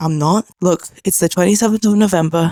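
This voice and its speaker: Quiet and fairly low-pitched, a woman speaks at a very fast pace with fairly even intonation. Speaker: vlogger. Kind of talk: personal vlog confession. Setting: at home at night, sitting on floor. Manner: quiet, hushed.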